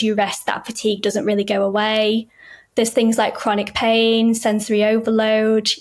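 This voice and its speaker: Monotone, flat intonation at a moderate pace over a quiet background. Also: woman. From northern England, Yorkshire. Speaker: writer and consultant with chronic illness. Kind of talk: casual chat. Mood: warm, thoughtful. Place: home room.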